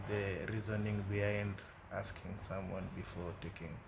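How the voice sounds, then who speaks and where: A man's fairly low, flat monotone at a very slow pace, with audible room echo and noticeable background noise. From Kenya. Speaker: international student. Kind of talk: interview. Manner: hesitant, many fillers and repetitions.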